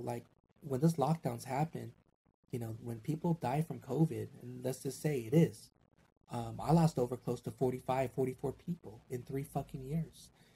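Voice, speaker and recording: Somewhat breathy and dark, mellow in tone, a man speaks at a medium pitch with fairly even intonation. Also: moderate pace. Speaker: podcaster. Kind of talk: casual chat.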